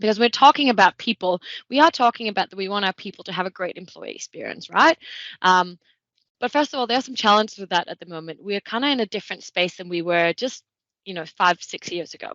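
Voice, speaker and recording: A woman with a Danish accent speaks at a very fast pace in a medium pitch, with lively intonation and big swings in loudness. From Denmark. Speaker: tech consultant. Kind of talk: webinar presentation.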